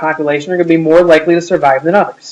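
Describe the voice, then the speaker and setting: The man talks at a very fast pace in a high pitch. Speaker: high school biology teacher. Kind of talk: recorded lecture.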